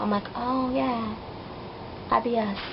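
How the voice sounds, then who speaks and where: There is noticeable background noise as a woman speaks with a high pitch and ordinary pitch variation. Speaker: vlogger. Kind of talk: casual vlog storytelling. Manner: fast; animated.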